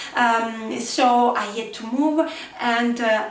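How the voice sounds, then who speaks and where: In an Italian accent, a woman speaks at a fairly high pitch with ordinary pitch variation, amid noticeable background noise and audible room echo. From Italy. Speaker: crafting youtuber. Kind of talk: casual chat to camera. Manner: halting, many fillers.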